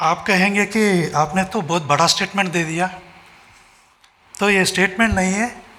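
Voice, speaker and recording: Over noticeable background noise, a man with a high pitch uses a raised, projected voice and ordinary pitch variation. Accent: non-native. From Telangana, India. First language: Telugu (speaking Hindi). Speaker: orthopedic surgeon and religious speaker. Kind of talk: speech at a festival. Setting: stage with audience. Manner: halting.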